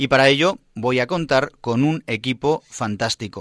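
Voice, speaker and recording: A man with an ordinary speaking voice talks at a medium pitch with ordinary pitch variation, recorded very cleanly against a silent background. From Spain, Madrid. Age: 30s. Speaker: priest, radio host. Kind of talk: radio programme presenting.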